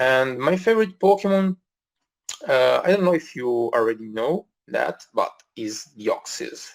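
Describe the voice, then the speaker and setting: With an Italian accent, a man talks at a fairly slow pace with long, frequent pauses and very wide pitch swings. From Italy. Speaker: podcast host. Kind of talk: casual live podcast Q&A. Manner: halting, many fillers.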